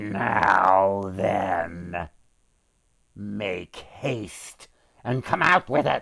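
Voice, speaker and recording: A man puts on a loud, growling character voice at a fairly low pitch. He goes very slowly, with long, frequent pauses. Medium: read story.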